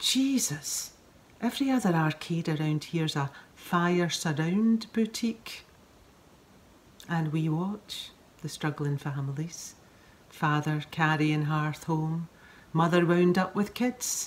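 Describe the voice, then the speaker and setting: Speaking at a very slow pace with long, frequent pauses, a woman with a Scottish accent uses lively intonation in a somewhat breathy, fairly low voice. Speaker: actress. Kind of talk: poetry reading.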